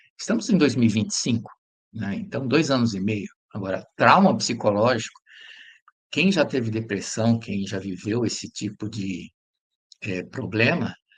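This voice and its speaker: A man with a medium pitch speaks at a moderate pace with lively intonation and a somewhat breathy sound. He takes long, frequent pauses. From Brazil, São Paulo. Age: 60s. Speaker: educator. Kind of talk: interview testimony.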